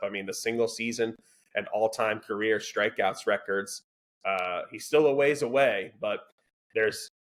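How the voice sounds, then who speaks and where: A man speaks at a moderate pace in an unremarkable speaking voice. His pitch sits in the medium range. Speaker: sports podcast host. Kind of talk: casual sports discussion.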